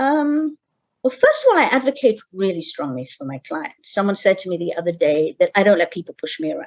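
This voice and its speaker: In a British accent, the voice moves at a fairly quick pace with very wide pitch swings and big swings in loudness. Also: woman, medium pitch for a woman. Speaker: geriatric care manager. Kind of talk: interview. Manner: halting.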